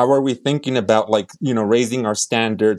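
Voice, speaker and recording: An unremarkable speaking voice at a fairly quick pace with ordinary pitch variation. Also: man. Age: 30s. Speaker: labor union official. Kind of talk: interview.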